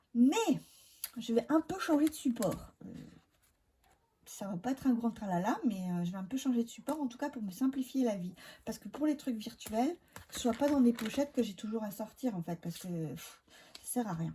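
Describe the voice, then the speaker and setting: Soft-spoken yet swinging widely in loudness, a woman with a dark, mellow tone and fairly high pitch talks at a moderate pace with lively intonation and long, frequent pauses. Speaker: budget vlogger. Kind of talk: casual vlog talk. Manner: hesitant, many filler sounds.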